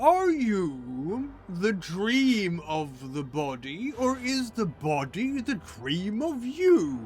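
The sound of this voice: In a put-on character voice, a man speaks at a high pitch and a very slow pace with hardly any pauses and very wide pitch swings, over clear background noise.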